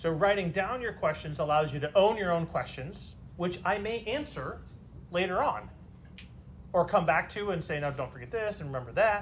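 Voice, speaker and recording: A man's high-pitched voice with lively intonation at a moderate pace, plus audible room echo. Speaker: math teacher. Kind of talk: lecture. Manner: slurred at times.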